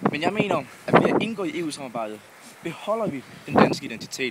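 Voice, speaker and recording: Over noticeable background noise, a man talks at a fairly quick pace with lively intonation. His voice is fairly high in pitch. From Funen, Denmark. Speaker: student. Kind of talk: vlog argument. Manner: hesitant.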